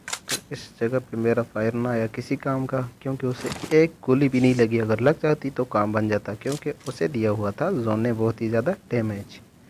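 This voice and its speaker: An ordinary speaking voice from a man, medium-pitched with ordinary pitch variation and hardly any pauses. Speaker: gaming YouTuber. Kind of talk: gameplay commentary.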